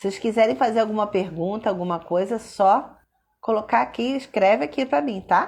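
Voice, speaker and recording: Ordinary pitch variation marks a woman's plain, everyday voice at a moderate pace on a very clean recording with a silent background. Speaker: content creator. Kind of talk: live stream talk. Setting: Instagram live.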